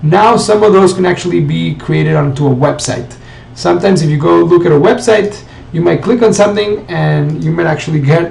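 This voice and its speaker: A man is talking with audible room echo. There is noticeable background noise behind him. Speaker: marketing tutorial presenter. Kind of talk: screen-share tutorial. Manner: fast.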